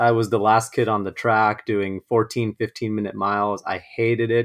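A man's medium-pitched voice with an American accent against a quiet background. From US, Los Angeles. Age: 20s. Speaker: ultra runner. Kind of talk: interview conversation.

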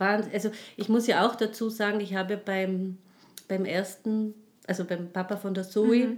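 A woman at medium pitch and a fairly slow pace, in a very clean recording with a silent background. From Tyrol, Austria. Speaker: life and social counsellor. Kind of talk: interview, personal testimony. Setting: in studio with host. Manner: halting, many fillers.

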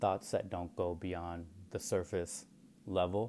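This man has a very deep, low pitch and an American accent, talking at a moderate pace with fairly even intonation. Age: 30s. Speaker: podcast host. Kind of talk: solo monologue podcast. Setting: home recording at night. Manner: casual, rambling with fillers.

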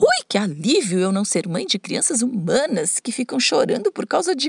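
A woman's put-on character voice, high-pitched and shrill, at a moderate pace. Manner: irritated, brusque.

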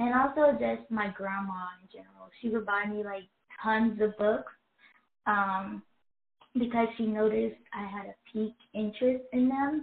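A woman speaks with a Chicago accent at a fairly high pitch. Her pitch varies in an ordinary way. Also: big swings in loudness. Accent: Chicago American English. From Chicago, Illinois, US. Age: 20s. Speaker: writer and social media creator. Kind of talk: casual interview.

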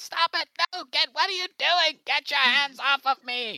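A man puts on a character voice. His pitch is extremely high. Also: moderate pace. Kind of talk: comic overacting. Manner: whiny, indignant, then gloating and panicked.

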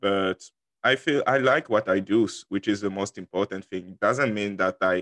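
A man with a French accent speaks at a fairly low pitch and a moderate pace, with ordinary pitch variation. The sound is dry and close with no echo, over a quiet background. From Ivory Coast. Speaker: university student. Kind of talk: casual interview.

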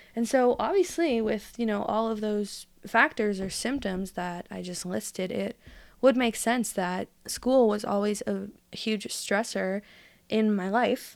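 In a very clean recording with a silent background, a woman speaks in an unremarkable speaking voice. Her pitch is fairly high, her pitch variation ordinary, and her pace fairly slow. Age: 20s. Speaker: podcast guest sharing mental health experience. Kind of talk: casual interview chat.

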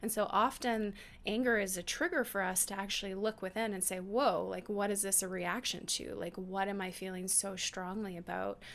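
A woman with an ordinary speaking voice talks at a moderate pace and medium pitch. Her intonation is fairly even, and she takes hardly any pauses. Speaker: podcast co-host, intuitive channel. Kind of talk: casual chat.

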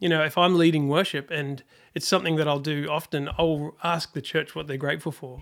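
With a New Zealand accent, a man speaks at a moderate pace and fairly high pitch on a very clean recording with a silent background. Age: 40s. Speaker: worship leader. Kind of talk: casual interview.

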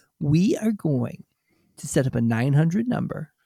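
A man's fairly high, somewhat breathy voice with a dark, mellow tone, at a fairly slow pace, in a dry, close sound with no echo. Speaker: podcast co-host. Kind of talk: casual chat.

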